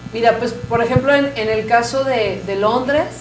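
Noticeable background noise and audible room echo accompany a woman speaking with ordinary pitch variation. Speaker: mariachi musician. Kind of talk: interview.

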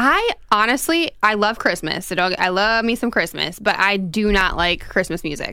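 The voice is a plain, everyday voice, with lively intonation. It moves at a moderate pace with hardly any pauses. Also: woman, medium pitch for a woman. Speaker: radio co-host. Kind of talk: casual political talk radio. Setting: studio. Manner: laughs often.

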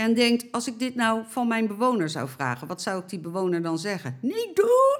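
A woman's plain, everyday voice, fairly high in pitch, with lively intonation and a moderate pace. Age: 60s. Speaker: elderly care campaigner. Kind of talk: interview.

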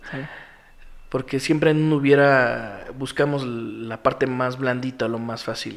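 Speaking at a fairly slow pace with a medium pitch, a man keeps his intonation fairly even while his loudness swings widely. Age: 30s. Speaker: single father sharing his story. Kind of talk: interview testimony. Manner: halting, many repetitions.

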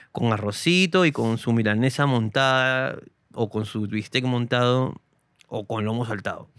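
An ordinary speaking voice with ordinary pitch variation, captured in a very clean recording against a silent background. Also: man. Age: 30s. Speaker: comedian. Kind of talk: casual chat.

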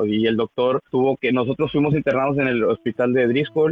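A man's voice at a medium pitch, with fairly even intonation. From Mexico, northern Tamaulipas. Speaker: church member giving testimony. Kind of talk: testimony. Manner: halting, many repetitions.

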